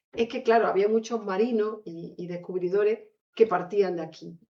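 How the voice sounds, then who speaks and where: With an Andalusian accent, a woman talks at a fairly quick pace. Her voice is fairly high, with ordinary pitch variation. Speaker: author. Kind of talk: book presentation talk. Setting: lecture hall with audience.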